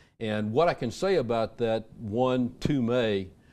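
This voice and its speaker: In an Alabama accent, a man talks at medium pitch with a dark, mellow tone and ordinary pitch variation against a quiet background. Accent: Southern US (Alabama). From US South, Birmingham, Alabama. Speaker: retired army intelligence officer. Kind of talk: radio interview.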